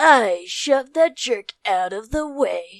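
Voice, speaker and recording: A woman puts on a character voice with a high pitch, speaking at a fairly slow pace. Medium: read story. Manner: contemptuous, abrasive.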